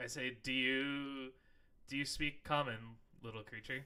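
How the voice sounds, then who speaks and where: In a put-on character voice, a man speaks at medium pitch and moderate pace with flat, monotone intonation. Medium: actual play.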